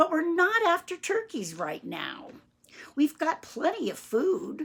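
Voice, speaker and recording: Raising and projecting her voice, a woman in a put-on character voice speaks at an extremely high pitch and a fairly slow pace. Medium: read story.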